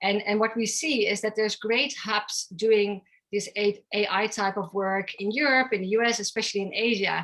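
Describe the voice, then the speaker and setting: A woman with a Dutch accent at medium pitch and moderate pace. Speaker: tech company founder and CEO. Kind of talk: interview.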